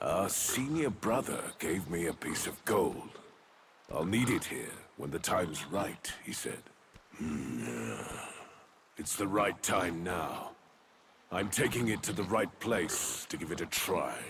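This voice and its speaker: Using a put-on character voice, a man speaks at a fairly slow pace in a fairly low pitch, with long, frequent pauses. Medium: video game. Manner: musing, hums to himself.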